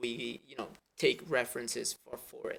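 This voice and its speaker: A man with an Italian accent. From Italy. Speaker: 3D animator. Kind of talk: tutorial. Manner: halting, many fillers and restarts.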